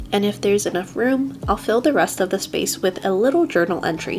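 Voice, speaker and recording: With lively intonation at a medium pitch, a woman talks as music plays in the background. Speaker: bullet journal creator. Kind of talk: craft tutorial voiceover.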